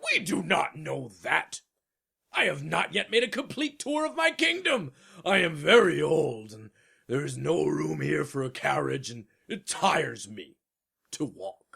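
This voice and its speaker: A man puts on a character voice and delivers his lines at a moderate pace. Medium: audio drama. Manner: pompous, commanding, formal.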